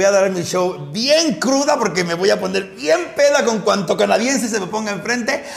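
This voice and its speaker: Over noticeable background noise and audible room echo, a man with a Mexican accent speaks. His tone is animated, with lively intonation. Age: 40s. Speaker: drag queen comedian and podcast host. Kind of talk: casual chat.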